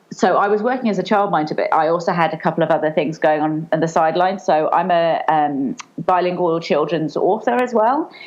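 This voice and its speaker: A woman with a British accent speaks at a fairly quick pace with hardly any pauses, in a fairly low voice with ordinary pitch variation. Noticeable background noise sits behind her. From England. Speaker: children's author and online entrepreneur. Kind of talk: podcast interview. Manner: hesitant, many fillers.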